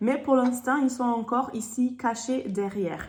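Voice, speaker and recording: The woman talks at a very slow pace, with ordinary pitch variation. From Germany. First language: German (speaking French). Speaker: sales consultant. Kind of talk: product presentation. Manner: hesitant, many fillers.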